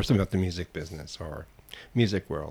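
A man's somewhat breathy voice, very deep and low in pitch. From San Francisco. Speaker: podcast host. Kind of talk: casual chat.

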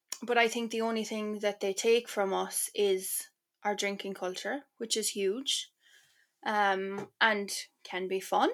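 Very slowly and with long, frequent pauses, a woman speaks in an Irish accent at a medium pitch with fairly even intonation. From Ireland, Cork. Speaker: author. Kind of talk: casual chat.

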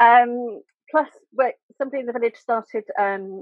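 Her pace is fairly slow. The woman uses ordinary pitch variation. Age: 50s. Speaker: figurative artist. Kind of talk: casual chat.

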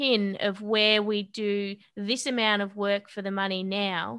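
A woman's fairly high voice with an Australian accent, bright and sharp in tone, over a quiet background. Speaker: boxer and personal trainer. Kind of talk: interview conversation.

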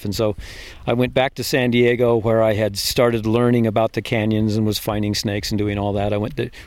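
A man with an American accent, fairly low in pitch with little pitch movement, a slightly mellow tone and a fairly quick pace

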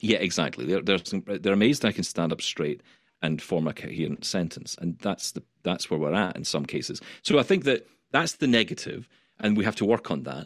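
In an unremarkable speaking voice, a man talks at a fairly quick pace with lively intonation against a quiet background. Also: fairly low pitch for a man. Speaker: radio host, blind tech presenter. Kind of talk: casual interview chat.

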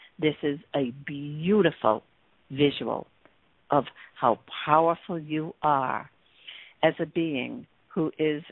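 A woman talks at a very slow pace. Her pitch is very deep and low, with ordinary variation. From California. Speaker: radio host. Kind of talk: radio show hosting, coaching talk. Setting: radio show with callers. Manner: upbeat, enthusiastic.

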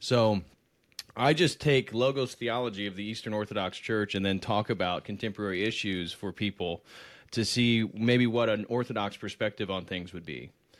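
An unremarkable speaking voice belongs to a man with an American accent, fairly low in pitch with ordinary pitch variation. He speaks at a moderate pace in a very clean recording with a silent background. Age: 30s. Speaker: PhD student and religious YouTuber. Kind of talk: casual interview conversation.

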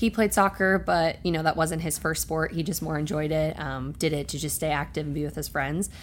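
A woman with a very deep, low voice speaks at a fairly quick pace, showing vocal fry. Her intonation stays fairly even. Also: hardly any pauses. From New Jersey, US. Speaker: professional soccer player. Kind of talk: casual interview.

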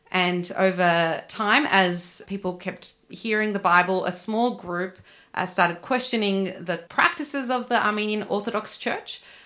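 Her bright, sharp voice at a medium pitch, a woman with an Australian accent speaks at a fairly slow pace with hardly any pauses and ordinary pitch variation. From Australia, Sydney. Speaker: church ministry worker. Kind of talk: interview.

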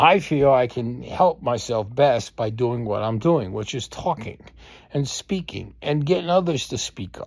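The delivery is a normal speaking voice at a fairly slow pace, with lively intonation. The recording is very clean, with a silent background. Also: man, medium pitch for a man. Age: 60s. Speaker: podcast host. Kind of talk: personal monologue. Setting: at home.

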